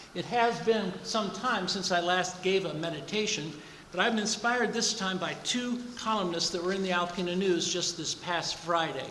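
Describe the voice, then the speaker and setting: The talking is moderately paced. Noticeable background noise can be heard beneath it. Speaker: pastor. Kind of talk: recorded church meditation.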